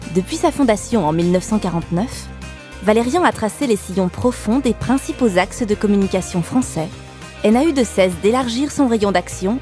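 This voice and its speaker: A woman speaks at a moderate pace with a medium pitch and lively intonation. Music plays in the background. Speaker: voice actor. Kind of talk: corporate narration.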